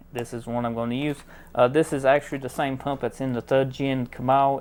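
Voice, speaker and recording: In a strong rural American accent, the speech moves at a moderate pace over a very clean recording with a silent background. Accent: heavy country. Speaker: DIY car mechanic youtuber. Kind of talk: product review tutorial.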